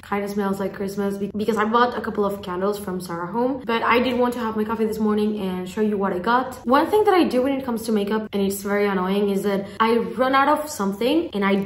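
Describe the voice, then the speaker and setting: A woman at a very fast pace with hardly any pauses, ordinary pitch variation and audible room echo. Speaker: vlogger. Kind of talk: casual vlog chat. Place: home room. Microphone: phone near.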